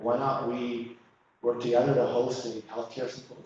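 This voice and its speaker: With an American accent, a man talks at a moderate pace amid audible room echo. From US Midwest. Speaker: pastor and community organizer. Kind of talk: workshop presentation. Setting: church hall with audience, no air conditioning.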